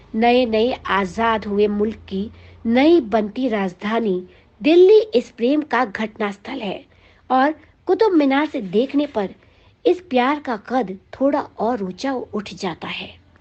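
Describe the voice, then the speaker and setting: Her intonation lively, a woman with a fairly high pitch talks in an ordinary speaking voice. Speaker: radio jockey. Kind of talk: music history narration.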